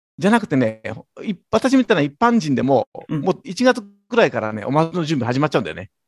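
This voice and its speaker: A man talks at a very fast pace in a fairly high pitch. His pitch swings very widely. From Yokosuka, Kanagawa, Japan. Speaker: company president. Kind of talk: interview.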